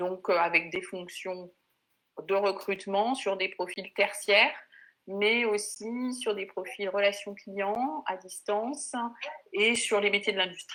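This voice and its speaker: Speaking at a very slow pace, a woman has a bright, sharp tone at a medium pitch with ordinary pitch variation. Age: 50s. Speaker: HR and recruitment consultant. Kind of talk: panel discussion. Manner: hesitant, many fillers.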